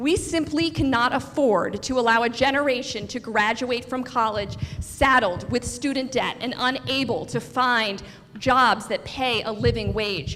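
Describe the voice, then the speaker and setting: A woman with an American accent speaks at a high pitch and a fairly slow pace. Audible room echo and noticeable background noise come through. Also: ordinary pitch variation. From Florida, Port St. Lucie area. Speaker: political candidate. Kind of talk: campaign speech. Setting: stage with audience.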